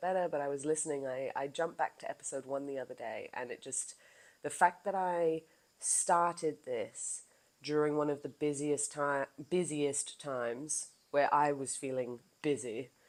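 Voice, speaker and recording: A woman with a very deep, low voice speaks at a moderate pace, her pitch varying in an ordinary way. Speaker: wellness coach and podcaster. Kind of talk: casual monologue. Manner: animated.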